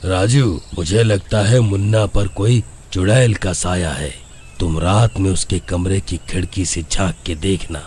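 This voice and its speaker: A man uses a cartoonish character voice with a very deep, low pitch and ordinary pitch variation. He talks at a fairly slow pace over clear background noise. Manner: calm.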